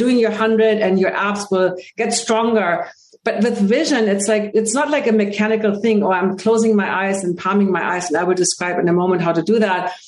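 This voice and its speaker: Here a woman speaks with a German accent. Her pace is fairly quick. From Germany, Hamburg. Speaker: holistic vision coach and speaker. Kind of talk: interview.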